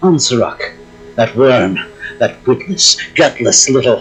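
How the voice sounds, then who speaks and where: A growling put-on character voice from a man, medium in pitch, at a fairly slow pace. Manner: growling, contemptuous, angry.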